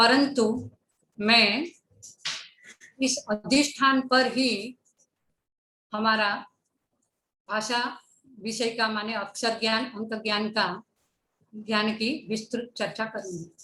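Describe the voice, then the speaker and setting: A woman with a Gujarati accent speaks at a fairly high pitch, with fairly even intonation. Her pauses are long and frequent. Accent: Gujarati-accented Hindi. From Gujarat, India. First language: Gujarati (speaking Hindi). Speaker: education speaker. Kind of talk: lecture. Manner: formal.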